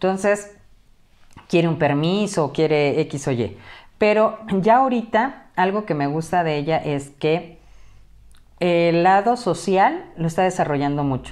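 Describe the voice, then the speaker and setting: Speaking at a fairly slow pace over a quiet background, a woman uses a fairly low pitch and lively intonation. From Mexico, Acapulco, Guerrero; Guerrero, Mexico. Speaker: teacher. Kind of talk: casual interview. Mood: earnest, warm. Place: home room.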